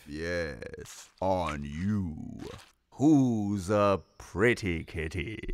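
A man's cartoonish character voice, very deep and low, at a very slow pace. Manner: theatrical, camp.

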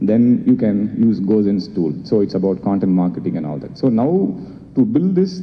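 A man speaks at a moderate pace in an unremarkable speaking voice with a fairly low pitch. Light background noise is present. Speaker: panelist. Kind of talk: panel talk. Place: hall.

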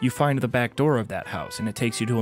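A man's medium-pitched voice at a very fast pace, with ordinary pitch variation and music in the background. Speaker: gaming video narrator.

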